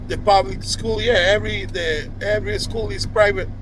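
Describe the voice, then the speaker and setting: In a room with audible echo and noticeable background noise, a man with a fairly high pitch speaks at a moderate pace. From Cuba. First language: Spanish. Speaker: video blogger. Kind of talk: casual monologue to camera. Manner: halting, with many restarts and fillers.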